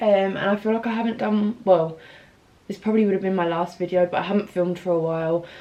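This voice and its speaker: Quiet speech from a woman comes through over noticeable background noise. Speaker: fitness vlogger. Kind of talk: casual vlog. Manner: speaking quietly.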